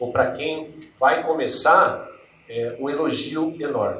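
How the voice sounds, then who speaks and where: A somewhat breathy male voice with audible room echo. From Brazil, Northeast (Paraíba backcountry). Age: 40s. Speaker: HR manager, invited speaker. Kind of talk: lecture.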